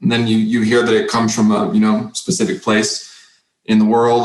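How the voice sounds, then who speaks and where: With an American accent, a man at a medium pitch talks at a fairly quick pace with lively intonation and audible room echo. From Oklahoma, Creek County. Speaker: kendo instructor. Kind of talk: interview conversation.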